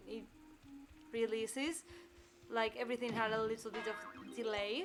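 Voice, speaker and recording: A woman speaks at a moderate pace with a Spanish accent and fairly even intonation. Music plays in the background. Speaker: gaming streamer. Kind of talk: gameplay commentary. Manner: halting.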